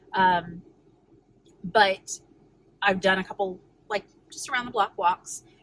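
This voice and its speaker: A woman with a medium pitch and ordinary pitch variation speaks with long, frequent pauses. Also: big swings in loudness. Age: 30s. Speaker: weight loss vlogger. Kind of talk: casual vlog. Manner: fast; quiet.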